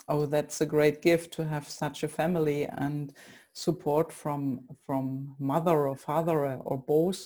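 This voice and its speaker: The speech has a dark, mellow tone and a German accent. It moves at a fairly slow pace with flat, monotone intonation. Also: woman, very deep, low pitch for a woman. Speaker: podcast host. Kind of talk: interview.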